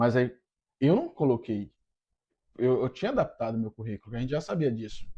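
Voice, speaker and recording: The voice has a dark, mellow tone and very wide swings in pitch. The background is quiet. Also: man. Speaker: immigrant YouTuber, husband. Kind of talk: casual chat.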